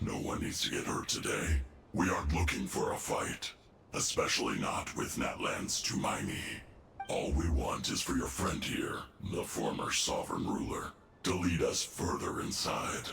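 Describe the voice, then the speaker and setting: A man's raspy, put-on character voice at a moderate pace, with a clear echo and clear background noise. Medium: video game. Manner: cool, smug.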